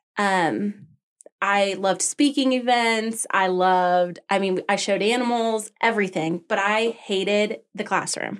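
With a normal speaking voice, a woman in an American accent talks at a fairly slow pace and medium pitch, keeping fairly even intonation and very even loudness. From Arizona (Tucson), then Colorado. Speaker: small business owner. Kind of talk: interview.

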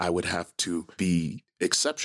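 A man speaks with a very deep, low pitch. The sound is dry and close with no echo, on a very clean recording with a silent background. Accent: American. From Milwaukee, Wisconsin. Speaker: film director. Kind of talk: interview.

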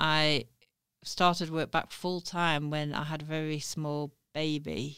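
A woman with a South Yorkshire accent is heard in a very clean recording with a silent background. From Sheffield, northern England. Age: 40s. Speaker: newspaper editor. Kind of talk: interview. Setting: studio.

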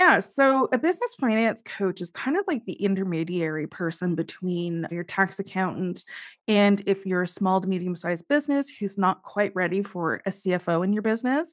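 With a Canadian accent and a normal speaking voice, a woman talks at a moderate pace and medium pitch, with ordinary pitch variation, hardly any pauses and a quiet background. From Canada. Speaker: accountant and business finance coach. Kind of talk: interview.

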